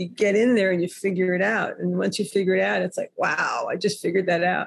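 Somewhat breathy and medium in pitch, a woman talks with ordinary pitch variation in an American accent. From New York City. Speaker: author. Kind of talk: casual interview chat.

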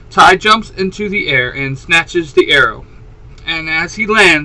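Intonation moves in a lively way. The reading voice is unforced.

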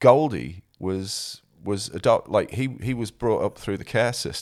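A man at medium pitch talks at a very slow pace on a very clean recording with a silent background. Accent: South Yorkshire. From South Yorkshire, England. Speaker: musician and former DJ. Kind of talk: casual interview chat.

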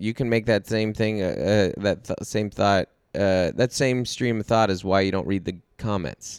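The sound is dry and close with no echo. It is a normal speaking voice. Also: man. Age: 30s. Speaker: podcast host, comedian. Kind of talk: casual chat. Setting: in a parked minivan used as studio.

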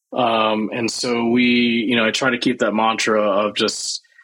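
A man is speaking. He has an American accent. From US South, Mississippi. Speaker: food entrepreneur. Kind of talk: interview. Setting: video call.

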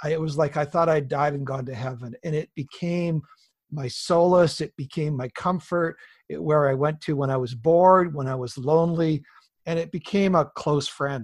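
Against a quiet background, a somewhat breathy man with a Canadian accent speaks at a moderate pace and a fairly high pitch. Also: ordinary pitch variation. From British Columbia, Canada. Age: 50s. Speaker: pastor. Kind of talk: interview.

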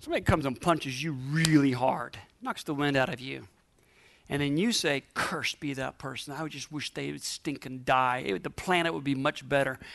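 With an animated, playful tone, a man speaks fairly quickly at a fairly high pitch with ordinary pitch variation. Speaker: preacher. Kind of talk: sermon to a live congregation. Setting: church with audience. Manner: animated, call-and-response, exhorting the crowd; humorous, playful asides.

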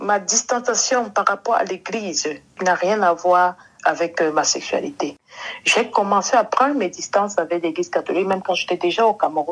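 Loudness stays very even as a woman speaks at a medium pitch with ordinary pitch variation. Her pace is moderate. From western Cameroon. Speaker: podcast guest. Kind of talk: interview.

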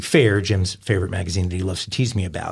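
A man talks with a fairly low pitch and a somewhat breathy quality. His intonation stays fairly even. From New York. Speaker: true crime podcast host. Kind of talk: casual chat.

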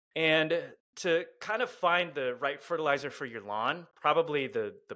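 Speaking in an American accent with a normal speaking voice, a man talks at a moderate pace with lively intonation. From Southern California. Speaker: lawn care social media creator. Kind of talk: casual interview chat.

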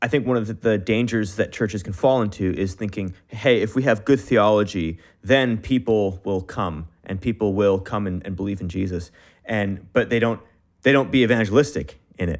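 A man with a plain, everyday voice speaks at a moderate pace in a fairly low pitch with ordinary pitch variation. The recording is very clean, with a silent background. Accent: Canadian. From Canada. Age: 20s. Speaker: podcast host. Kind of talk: interview.

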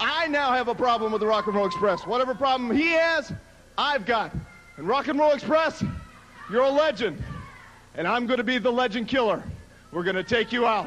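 A man talks in an extremely high pitch with lively intonation and long, frequent pauses. Noticeable background noise sits behind him. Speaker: wrestler in TV promo. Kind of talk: wrestling promo, clip replayed. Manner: brash, bragging, animated, aggressive.

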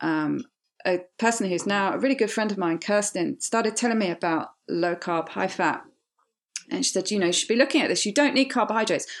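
This is a woman speaking with a British accent. The background is quiet. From Britain. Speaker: weight loss surgery patient. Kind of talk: personal testimony.

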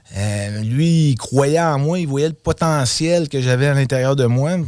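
A man with a medium pitch moves through his words at a very slow pace, his pitch varying in an ordinary way. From Quebec City, Quebec. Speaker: roofing company co-owner. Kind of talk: casual interview.

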